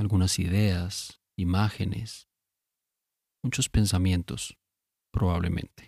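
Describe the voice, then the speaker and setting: A man speaks at a very slow pace with long, frequent pauses, his somewhat breathy voice carrying a dark, mellow tone, a calm tone, ordinary pitch variation, and a dry, close sound with no echo. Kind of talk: guided sleep meditation. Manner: slow, soft-spoken, calm; long pauses between short phrases.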